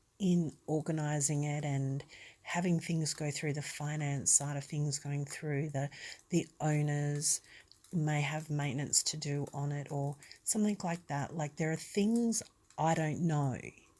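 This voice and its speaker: A woman's very deep, low voice with an Australian accent, calm and relaxed, at a very slow pace with ordinary pitch variation on a very clean recording with a silent background. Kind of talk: ASMR talk. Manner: calm, relaxed.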